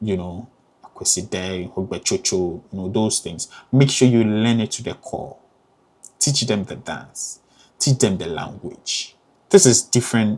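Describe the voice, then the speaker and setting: Speaking with a Ghanaian accent, a man uses a fairly low pitch and ordinary pitch variation. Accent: Ghanaian accent, kept. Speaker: graduate student vlogger. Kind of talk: casual advice vlog. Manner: hesitant, many fillers.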